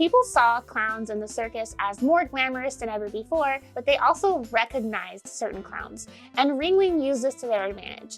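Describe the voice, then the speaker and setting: With music in the background, a woman uses a high pitch and lively intonation at a moderate pace. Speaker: clown history video host. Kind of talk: casual talk to camera.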